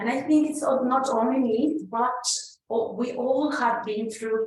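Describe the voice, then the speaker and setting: Spoken with a Spanish accent, the words come at a fairly slow pace with ordinary pitch variation and audible room echo. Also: woman. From Mexico. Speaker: conference speaker sharing migrant experience. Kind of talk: conference talk. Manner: halting with fillers.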